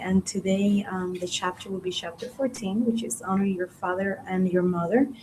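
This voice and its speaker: Noticeable background noise sits behind a woman of medium pitch. She keeps a moderate pace with ordinary pitch variation. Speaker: spiritist study speaker. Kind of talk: religious study talk. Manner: varying pace; hesitant, many fillers.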